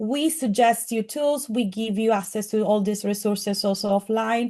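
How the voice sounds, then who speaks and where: With a strong Italian accent, a woman speaks at a moderate pace in a fairly high pitch. Her tone is dark and mellow, her intonation fairly even, and the background quiet. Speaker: AI skills course instructor. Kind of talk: presentation.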